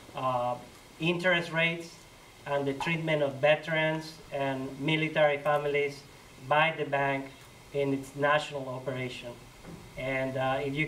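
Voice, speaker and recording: Monotone, flat intonation from a man with a fairly high voice at a moderate pace, amid noticeable background noise and audible room echo. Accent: Colombian. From Colombia. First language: Spanish. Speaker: community organizer. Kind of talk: talk to church audience. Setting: church hall with audience.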